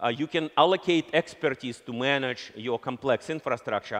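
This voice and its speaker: A man speaks with a Russian accent. His pace is moderate. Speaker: company founder and CEO; keynote speaker. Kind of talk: conference keynote speech. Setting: stage with audience. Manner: halting. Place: stage.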